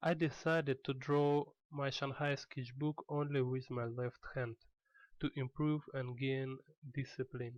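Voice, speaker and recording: A man with a non-native accent, fairly high-pitched, fairly slow, flat and monotone, in a dry, close recording without echo. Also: quiet background. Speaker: artist. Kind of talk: tutorial.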